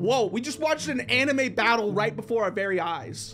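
The speech moves at a moderate pace over faint music in the background. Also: man. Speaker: reaction streamer. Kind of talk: casual reaction commentary. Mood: amused, laughing. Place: home room.

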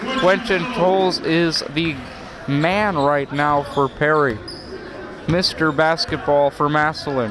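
A man speaks at a very slow pace with a fairly high pitch and lively intonation. His loudness stays very even, the sound is dry with no echo, and noticeable background noise is present. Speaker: sports commentator. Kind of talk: live play-by-play sports commentary. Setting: high school gym broadcast. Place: hall.

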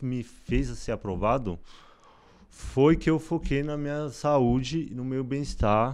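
This man speaks fairly slowly, with ordinary pitch movement, and the background is quiet. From São Paulo, Brazil. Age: 20s. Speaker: medical student; interview guest. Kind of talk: interview. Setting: studio. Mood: reflective, personal story. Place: studio. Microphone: studio mic.

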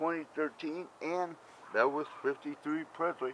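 The recording of a man has a dry sound with no echo and light background noise. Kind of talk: casual vlog chat. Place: street. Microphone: phone near.

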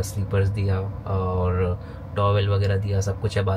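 A fairly low-pitched man's voice with monotone, flat intonation over noticeable background noise. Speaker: travel vlogger. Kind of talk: casual vlog chat. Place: home room. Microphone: phone near.

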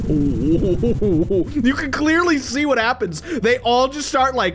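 A man speaks with very wide pitch swings while music plays in the background. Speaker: gaming video host. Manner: energetic, excited.

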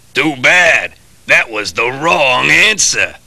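A man puts on a cartoonish character voice with a fairly high pitch. He talks at a very slow pace. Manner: gruff, menacing.

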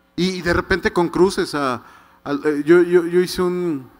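A man speaks in a high pitch at a moderate pace. His intonation stays fairly even. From Mexico City. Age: 50s. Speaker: writer. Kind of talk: book presentation talk. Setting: stage with audience. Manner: halting, many repetitions. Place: stage. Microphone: handheld.

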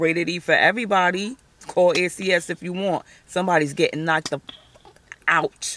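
A woman at a fairly low pitch, with long, frequent pauses, light background noise and a dry sound with no echo. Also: fairly even intonation, moderate pace. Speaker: vlogger, stay-at-home mom; stay-at-home mom vlogger. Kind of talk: casual vlog chat. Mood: annoyed, venting about kids. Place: car. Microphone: phone near.

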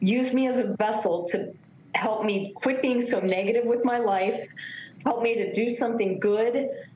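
Speaking at a moderate pace and a fairly high pitch, a woman keeps a fairly even intonation, with audible room echo and light background noise. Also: very even loudness. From Virginia, US. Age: 50s. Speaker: former beauty pageant contestant. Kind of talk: TV interview, personal testimony. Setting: remote video link. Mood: emotional, tearful recounting. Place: home room. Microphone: video call.

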